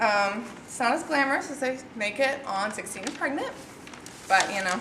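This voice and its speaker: Through audible room echo and noticeable background noise, a woman speaks at a moderate pace. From Tennessee, near Nashville. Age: 20s. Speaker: college student. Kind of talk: class speech; Q&A answer. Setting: classroom with audience. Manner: loud; animated.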